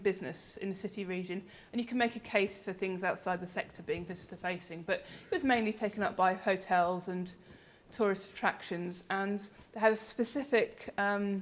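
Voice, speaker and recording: A woman speaks with an English accent at a fairly quick pace. Her intonation stays fairly even. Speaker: researcher and conference speaker. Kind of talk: conference presentation. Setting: conference with audience. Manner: hesitant, many ums.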